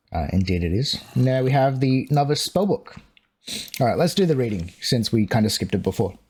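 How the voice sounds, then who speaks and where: A man speaks at a fairly quick pace and medium pitch, somewhat breathy, with very wide pitch swings. His loudness stays very even, in a very clean recording with a silent background. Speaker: gaming YouTuber. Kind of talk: gameplay commentary. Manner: casual, chatty.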